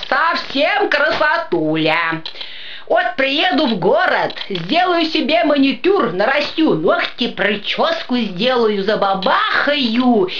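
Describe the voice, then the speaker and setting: Light background noise sits behind a woman speaking very slowly in a high voice. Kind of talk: casual vlog chat. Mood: playful, joking, laughing. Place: home room. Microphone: phone near.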